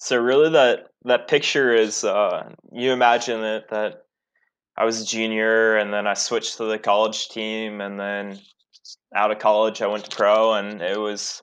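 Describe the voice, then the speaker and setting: A man with a plain, everyday voice talks at a moderate pace and fairly low pitch, intonation fairly even, over a quiet background. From Columbus, Ohio. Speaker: former pro cyclist. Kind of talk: casual chat.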